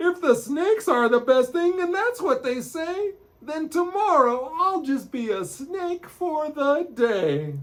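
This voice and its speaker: A man's put-on character voice, extremely high-pitched, raised and projected, at a fairly slow pace. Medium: read story.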